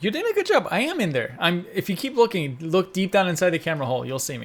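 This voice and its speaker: A man talks at a very fast pace with a high pitch and very wide pitch swings. Noticeable background noise is heard. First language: Persian. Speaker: podcast co-host. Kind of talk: casual chat.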